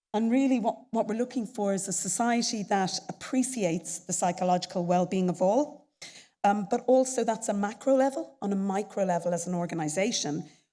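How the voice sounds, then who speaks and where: In an Irish accent, a woman talks at a fairly quick pace with a medium pitch. Her tone is dark and mellow, with ordinary pitch variation. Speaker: chief executive of a professional society. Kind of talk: conference presentation. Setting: stage with audience at a conference.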